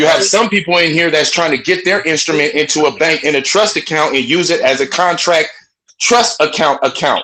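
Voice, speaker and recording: Shouting at a fairly quick pace, a man with a fairly high pitch and a bright, sharp tone keeps his loudness very even and his pitch variation ordinary. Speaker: call participant sharing advice. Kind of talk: group call discussion. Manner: passionate; loud, sounds like yelling.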